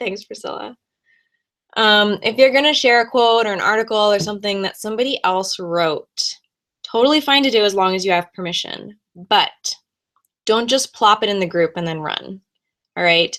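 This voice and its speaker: With long, frequent pauses, a woman speaks at a moderate pace, her medium pitch showing ordinary variation. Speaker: business coach. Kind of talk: live webinar tutorial. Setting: live video stream. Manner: animated.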